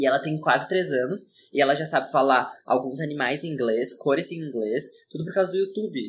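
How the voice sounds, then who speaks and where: Here a man has an unremarkable speaking voice with a fairly high pitch. He talks at a fairly quick pace with ordinary pitch variation. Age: 20s. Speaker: podcast co-host, designer. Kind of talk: casual chat.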